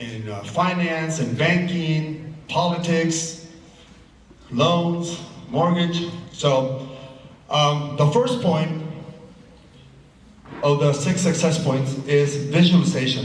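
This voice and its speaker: A man with a fairly high voice talks at a fairly slow pace, leaving long, frequent pauses. Noticeable background noise and audible room echo come through. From Chile. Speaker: clothing businessman and real estate investor. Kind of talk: motivational talk to business audience.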